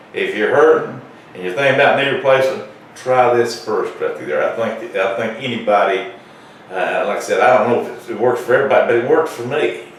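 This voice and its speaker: Noticeable background noise and audible echo from the room surround a man who speaks fairly quickly. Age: 70s. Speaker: patient testimonial. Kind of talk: testimony. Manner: halting, many fillers.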